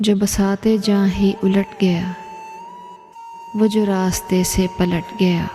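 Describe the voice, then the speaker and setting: Music plays in the background as a soft-spoken woman talks in a gentle tone. Her intonation is monotone and flat, and her loudness stays very even. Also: medium pitch for a woman. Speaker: poetry reciter. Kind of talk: poetry reading. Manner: soft, gentle pace; emotional.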